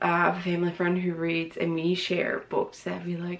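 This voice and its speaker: A woman speaks in a fairly low pitch. Her pace is fairly quick. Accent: slight Newfoundland. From Newfoundland, Canada. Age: 20s. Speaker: book vlogger. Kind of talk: casual vlog talk.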